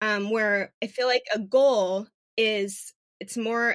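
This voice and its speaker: A woman with an American accent and a normal speaking voice, fairly high pitch, fairly even intonation, a fairly slow pace and a dry, close sound with no echo. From Phoenix, Arizona. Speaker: podcast co-host, breast cancer patient. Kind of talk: casual chat.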